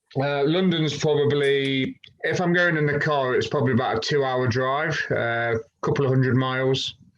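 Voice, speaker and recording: A man with a British accent speaks at a fairly high pitch and a moderate pace. His intonation is fairly even, and his loudness is very even. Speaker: fitness coach. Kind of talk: casual interview.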